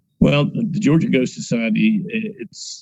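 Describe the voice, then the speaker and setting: The pace is moderate. A man's voice moves through very wide pitch swings. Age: 60s. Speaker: paranormal investigator. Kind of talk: casual interview.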